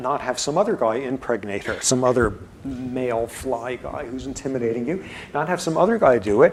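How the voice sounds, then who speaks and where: Over noticeable background noise, someone mumbles at a fairly quick pace with ordinary pitch variation. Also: man, medium pitch for a man. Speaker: professor. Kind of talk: lecture. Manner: mumbling; quiet.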